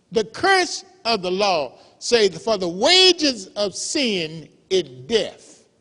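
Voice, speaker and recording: In a raised, projected voice with a bright, sharp tone, a man speaks at a very slow pace. His high pitch swings very widely. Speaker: pastor. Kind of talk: church sermon.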